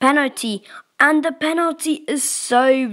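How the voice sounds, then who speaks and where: Raised and projected, a woman's voice has a bright, sharp tone. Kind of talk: live sports commentary. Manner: short, clipped reactions to each chance.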